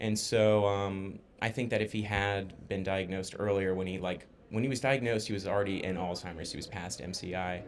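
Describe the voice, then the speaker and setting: A man with an American accent talks at a fairly quick pace, with a fairly low pitch and hardly any pauses. His intonation is fairly even, with music in the background and audible room echo. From Florida, US. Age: 20s. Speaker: podcast host and former caregiver. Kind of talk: casual chat. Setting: podcast.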